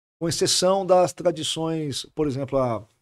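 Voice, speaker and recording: The recording of this man is very clean, and nothing can be heard behind him. His voice sounds dry and close, without any echo. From Brazil, Santos. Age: 40s. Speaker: pastor. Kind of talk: podcast interview. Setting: studio.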